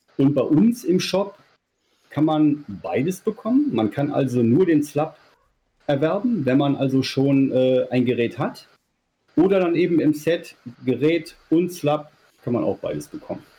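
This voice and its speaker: A man speaks at a fairly slow pace with long, frequent pauses, his voice fairly high with lively intonation. The tone is dark, mellow and somewhat breathy. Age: 40s. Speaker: sex toy maker. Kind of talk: casual interview.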